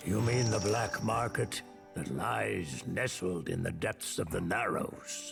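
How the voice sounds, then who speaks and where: Over clear music in the background, a man uses a put-on character voice at a fairly slow pace and a fairly low pitch. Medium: video game. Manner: slow, formal and grave.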